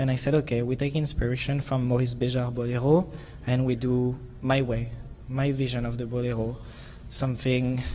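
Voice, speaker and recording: Audible room echo around a man with a French accent, medium pitch, and moderate pace. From France. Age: 20s. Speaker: figure skater. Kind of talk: press conference answer. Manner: animated.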